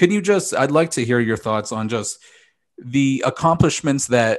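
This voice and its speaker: A man with a plain, everyday voice, medium pitch and lively intonation, over a quiet background. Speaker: NFL talk show host. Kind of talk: sports talk show host.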